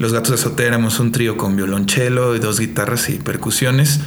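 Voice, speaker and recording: A man at medium pitch and moderate pace, ordinary pitch variation, with audible room echo and noticeable background noise. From Mexico. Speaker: singer-songwriter. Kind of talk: interview. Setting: on location in Toluca.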